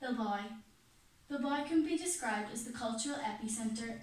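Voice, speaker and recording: With audible room echo, a woman speaks fairly quickly in a fairly high pitch with an Irish accent. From Ireland. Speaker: student presenter. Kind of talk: class presentation. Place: classroom. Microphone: camera far.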